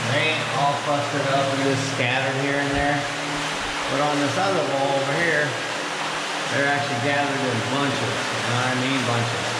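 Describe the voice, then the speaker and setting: A man at a moderate pace with long, frequent pauses, audible room echo and loud background noise. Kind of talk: casual vlog chat. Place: tunnel cave. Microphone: phone near.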